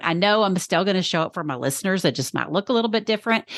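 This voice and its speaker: A woman with a Texas accent talks at a very fast pace with lively intonation. The sound is dry and close with no echo, over a quiet background. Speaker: podcast strategist. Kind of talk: podcast interview.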